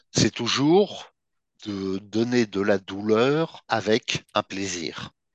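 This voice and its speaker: Against a quiet background, a man speaks very slowly at a fairly low pitch with ordinary pitch variation, the sound dry and close with no echo. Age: 50s. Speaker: BDSM practitioner and article writer. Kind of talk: interview.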